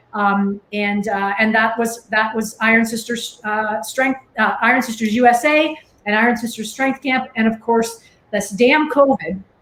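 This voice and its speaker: Fairly slow and fairly high-pitched, a woman speaks with fairly even intonation amid noticeable background noise. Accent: Canadian. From Canada. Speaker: strength camp organizer. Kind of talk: interview. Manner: halting, many fillers.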